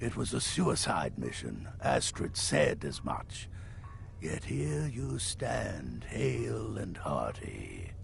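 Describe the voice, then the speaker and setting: Over clear background noise, a man does a put-on character voice at a very slow pace. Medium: video game. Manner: dry, grumbling.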